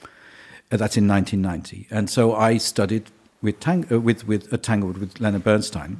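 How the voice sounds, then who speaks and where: The pace is moderate. The words come with an English accent. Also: man. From England. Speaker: conductor. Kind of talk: casual interview.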